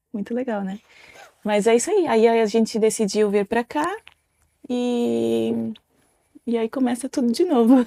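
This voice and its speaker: A woman with a dark, mellow tone and fairly high pitch speaks at a fairly slow pace, with ordinary pitch variation and long, frequent pauses. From Italy. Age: 30s. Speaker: podcast co-host, mother. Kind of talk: casual chat.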